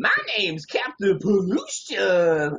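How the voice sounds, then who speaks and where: Put-on character voice, middle-pitched, fairly slow in pace. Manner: laid-back surfer drawl.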